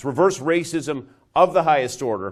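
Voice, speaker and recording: A man with a plain, everyday voice and ordinary pitch variation is heard on a very clean recording with a silent background. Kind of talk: political commentary speech. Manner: fast, assertive.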